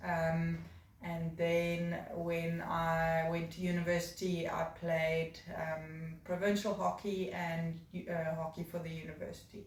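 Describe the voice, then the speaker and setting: Amid noticeable background noise and audible room echo, a woman with a South African accent speaks very slowly in a fairly low, monotone, flat voice. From South Africa, Cape Town (Durbanville). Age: 30s. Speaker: job applicant. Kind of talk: video job application, personal introduction. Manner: hesitant, many fillers.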